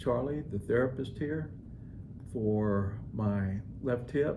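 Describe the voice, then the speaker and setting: In a room with audible echo, a man with an American accent speaks very slowly, his fairly low, somewhat breathy voice dark and mellow, with ordinary pitch variation. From Florida, Tampa Bay area. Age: 70s. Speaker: patient. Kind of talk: testimony. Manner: halting.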